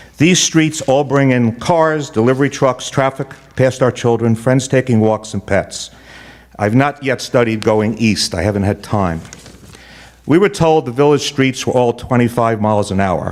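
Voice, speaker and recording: A man with a medium pitch and ordinary pitch variation talks at a moderate pace, noticeable background noise audible behind him. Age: 70s. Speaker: public commenter at village meeting. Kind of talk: public comment. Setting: village board meeting.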